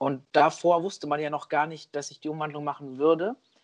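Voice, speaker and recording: A man with a fairly high pitch talks at a moderate pace in an ordinary speaking voice. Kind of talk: casual chat.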